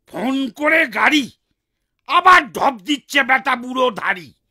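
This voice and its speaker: In a cartoonish character voice, the speaker talks at a very slow pace and a high pitch. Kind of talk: comic overacting. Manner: loud, grumbling, bragging.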